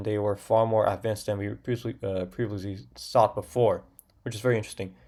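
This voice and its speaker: A man mumbles in a put-on character voice at a very fast pace, his fairly low pitch held in a flat monotone. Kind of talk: casual, raw, unscripted. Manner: mumbling.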